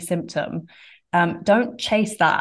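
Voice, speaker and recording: Against a quiet background, a woman speaks in a normal speaking voice, fairly low in pitch and with fairly even intonation. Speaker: podcast host. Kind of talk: casual interview.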